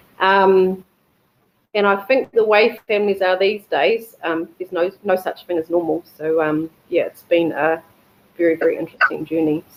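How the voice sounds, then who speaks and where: A woman with a New Zealand accent, medium pitch, ordinary pitch variation and a moderate pace. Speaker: embryo donor. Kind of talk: personal testimony. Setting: webinar video call. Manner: hesitant, many fillers.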